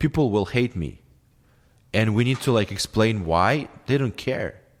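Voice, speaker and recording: The speaker has a non-native accent, a fairly slow pace and ordinary pitch variation. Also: man, medium pitch for a man. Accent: non-native English, imperfect pronunciation. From former Soviet Union. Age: 30s. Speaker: podcast guest, filmmaker. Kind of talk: heated debate; casual chat. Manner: halting.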